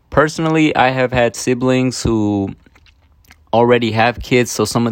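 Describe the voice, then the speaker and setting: A man with a Spanish accent at a moderate pace. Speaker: student presenter. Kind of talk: prepared video presentation. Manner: hesitant, many fillers.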